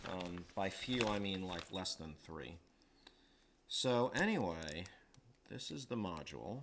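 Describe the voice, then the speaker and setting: A man with an American accent, fairly low pitch, lively intonation and a fairly slow pace. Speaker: electronics hobbyist livestreamer. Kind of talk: live tutorial stream. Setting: livestream at workbench. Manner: halting, many fillers.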